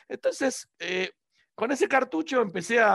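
Bright and sharp in tone, a man's voice moves through very wide pitch swings. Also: dry, close sound with no echo, very clean recording, silent background. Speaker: reverse engineering teacher. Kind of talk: interview conversation.

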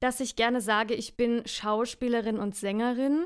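The recording is very clean, with a silent background. A woman speaks at a very slow pace in a fairly high pitch. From Franconia, Bavaria. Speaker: musical performer. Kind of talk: casual chat.

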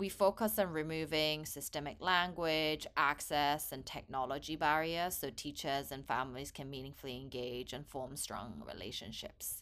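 A woman with a Korean accent speaks at a moderate pace in a very deep, low pitch with ordinary pitch variation. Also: hardly any pauses, big swings in loudness. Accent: English with Korean background. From England (grew up near London, born in Korea). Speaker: nonprofit founder. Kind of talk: casual conversation.

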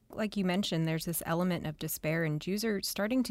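A woman talks in a fairly low voice with ordinary pitch variation, a normal speaking voice. The recording is very clean, with a silent background. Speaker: co-producer and research fellow. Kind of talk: academic discussion.

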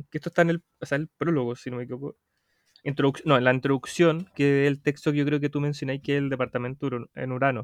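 In a Chilean accent, a man speaks at a fairly high pitch with monotone, flat intonation. The sound is dry and close with no echo, over a quiet background. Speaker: podcast co-host. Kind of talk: casual chat.

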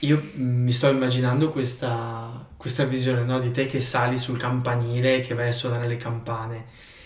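In a room with audible echo, a man of medium pitch speaks somewhat breathily at a fairly slow pace. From northeastern Italy, outside Val Resia. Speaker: podcast host. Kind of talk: podcast interview.

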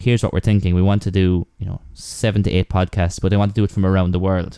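A man's fairly low, dark, mellow voice in an Irish accent at a very fast pace, on a very clean recording with a silent background. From Ireland. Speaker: podcaster. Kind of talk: casual chat.

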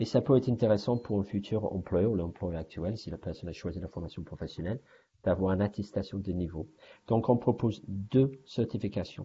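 A somewhat breathy man with an English accent speaks at a fairly quick pace with ordinary pitch variation. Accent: English-speaking accent in French. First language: English (speaking French). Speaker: language training manager. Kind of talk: interview. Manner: halting, with frequent repetitions.

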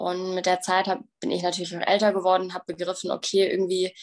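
A woman speaks in a plain, everyday voice at medium pitch. Her pace is fairly quick. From Bavaria, Germany. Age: 20s. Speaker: bodybuilding athlete and recovery coach. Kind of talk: personal testimony interview.

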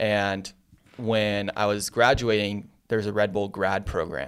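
In a Californian accent, a man speaks at a fairly low pitch with monotone, flat intonation. The recording is very clean, the background silent. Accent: Californian American. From US West Coast, San Diego. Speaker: marketing agency founder. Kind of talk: casual interview. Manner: casual, filler-heavy.

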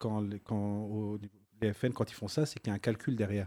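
Dark and mellow in tone, a man's medium-pitched voice comes through in a dry, close sound with no echo. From northern France, Lens. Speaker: nurse. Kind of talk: casual chat.

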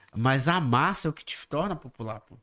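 A man with a northern Brazilian accent at medium pitch and moderate pace, in a very clean recording with a silent background. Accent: northern Brazilian (Manaus) Portuguese. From Manaus, Brazil. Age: 30s. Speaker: digital content creator. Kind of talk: casual chat. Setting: podcast studio, livestream.

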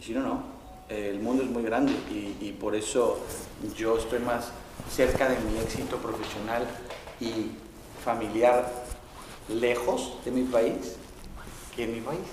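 A man at a very slow pace with fairly even intonation and long, frequent pauses, amid noticeable background noise and audible room echo. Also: medium pitch for a man. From Mexico. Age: 40s. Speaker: football coach. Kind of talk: interview.

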